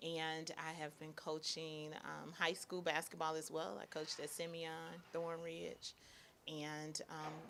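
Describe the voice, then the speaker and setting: A woman's very deep, low voice with a bright, sharp tone and an American accent, at a fairly slow pace with fairly even intonation. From Chicago, Woodlawn (South Side). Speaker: teacher and basketball coach. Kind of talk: interview.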